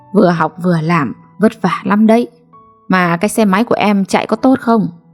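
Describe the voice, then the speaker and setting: The speech moves at a very slow pace with ordinary pitch variation. Music plays in the background. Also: woman. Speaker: story narrator. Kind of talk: late-night read story.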